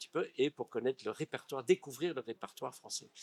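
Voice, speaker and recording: Delivered at a very fast pace in an English accent, the voice has a dry, close sound with no echo. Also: man. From California, US. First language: English (speaking French). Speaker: actor and stage director. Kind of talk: interview. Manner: halting.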